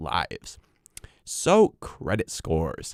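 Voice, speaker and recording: Close and dry, the man's voice carries no echo at all. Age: young. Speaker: podcast host. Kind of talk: educational podcast talk.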